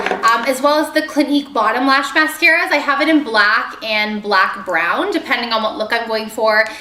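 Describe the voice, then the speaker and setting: High-pitched woman's voice, raised and projected with lively intonation and hardly any pauses, amid audible room echo and noticeable background noise. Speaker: beauty vlogger. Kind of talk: product haul video. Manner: fast; casual with filler ums.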